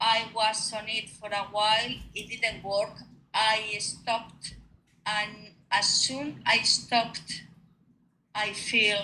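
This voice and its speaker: Speaking with a Spanish accent, the voice moves at a very slow pace in a flat monotone, with long, frequent pauses. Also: woman. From Spain. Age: 50s. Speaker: retired nurse. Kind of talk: interview. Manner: halting.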